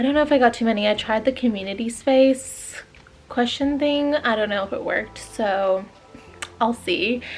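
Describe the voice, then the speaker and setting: Music plays in the background as a woman with a high pitch and a relaxed tone speaks at a moderate pace. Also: ordinary pitch variation. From Canada until age 11, then Australia. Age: 20s. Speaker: lifestyle vlogger. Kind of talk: casual chat. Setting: at home. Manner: relaxed, chatty.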